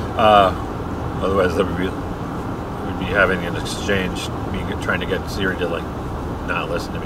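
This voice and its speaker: Loud background noise comes through as a man speaks, the sound dry with no echo. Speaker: driver vlogger. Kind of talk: casual vlog chat. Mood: jokey, relaxed. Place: car. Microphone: camera far.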